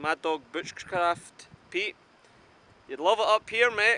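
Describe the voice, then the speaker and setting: A man speaks with a Scottish accent at a moderate pace. His tone is bright and sharp. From Scotland. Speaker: outdoor vlogger. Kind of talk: casual vlog talk to camera. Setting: outdoors on a mountain.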